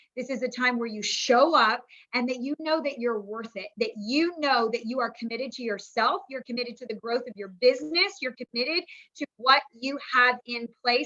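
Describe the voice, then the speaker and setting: A woman speaks in a high pitch with an energetic tone. Her loudness swings widely while her pitch varies in an ordinary way. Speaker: business coach. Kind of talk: training webinar talk. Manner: fast.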